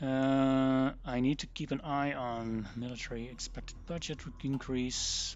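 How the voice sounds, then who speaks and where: A man with a Dutch accent speaks at medium pitch with fairly even intonation. His pace is fairly slow, with hardly any pauses. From Netherlands. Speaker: gaming streamer. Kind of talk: live gameplay commentary. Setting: live stream.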